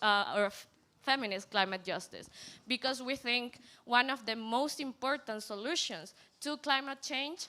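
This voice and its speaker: At a moderate pace, a woman speaks in a high voice with a bright, sharp tone and ordinary pitch variation, on a very clean recording with a silent background. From Latin America. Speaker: climate activist. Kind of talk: panel talk. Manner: hesitant, frequent fillers.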